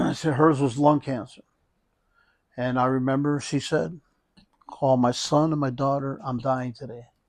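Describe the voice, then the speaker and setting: The speaker keeps a fairly even intonation and leaves long, frequent pauses. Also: man. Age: 60s. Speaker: hospice nurse. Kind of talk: interview. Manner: halting.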